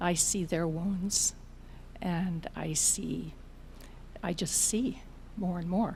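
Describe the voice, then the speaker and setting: A woman's fairly low, dark and mellow, somewhat breathy voice at a very slow pace, with long, frequent pauses. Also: ordinary pitch variation. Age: 70s. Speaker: audience member sharing experience. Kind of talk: audience comment at a talk.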